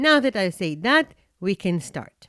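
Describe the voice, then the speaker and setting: A woman with a non-native accent speaks at a very slow pace and medium pitch, her pitch swinging very widely. The recording is very clean and silent in the background, with a close, dry sound and no echo. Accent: non-native English speaker. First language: not English. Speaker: podcast host and coaching institute founder. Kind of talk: podcast monologue.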